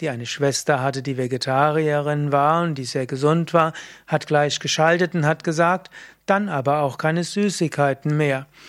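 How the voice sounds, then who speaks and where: In a plain, everyday voice, a man speaks at a moderate pace with a fairly high pitch and fairly even intonation on a very clean recording with a silent background. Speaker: yoga teacher. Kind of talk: tutorial. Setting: video recording.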